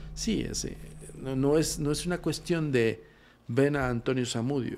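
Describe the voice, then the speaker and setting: Fairly slow speech from a man over light background noise. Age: 40s. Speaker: paranormal investigator; guest. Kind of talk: casual chat. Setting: studio. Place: studio. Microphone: studio mic.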